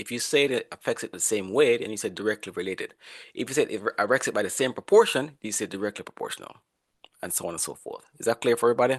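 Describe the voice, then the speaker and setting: A man talks at a very fast pace, his loudness swinging widely. The sound is dry and close with no echo, over a quiet background. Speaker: professor. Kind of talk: lecture.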